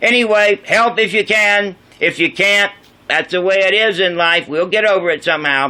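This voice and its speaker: A man talks at a moderate pace in a bright, sharp tone with ordinary pitch variation. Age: 60s. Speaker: vlogger, ex-airline pilot and drummer. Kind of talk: casual monologue vlog.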